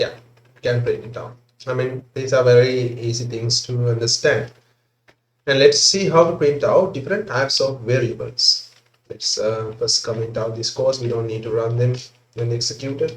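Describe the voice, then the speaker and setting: A man speaks at a medium pitch, with ordinary rise and fall. He keeps a moderate pace and sounds somewhat breathy. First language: not English. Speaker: programming tutor. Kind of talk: tutorial. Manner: hesitant, filler-heavy.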